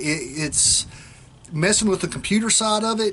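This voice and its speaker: Moderate pace from a man with a strong Southern US accent and ordinary pitch variation. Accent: strong rural Southern, hillbilly-sounding. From South Central Oklahoma. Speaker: state trooper and vlogger. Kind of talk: casual vlog talk. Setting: outdoors. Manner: relaxed, rambling with fillers.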